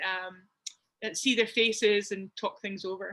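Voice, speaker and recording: The speaker has a bright, sharp tone and a Scottish accent. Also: woman. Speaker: community participant. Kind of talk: casual chat. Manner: halting.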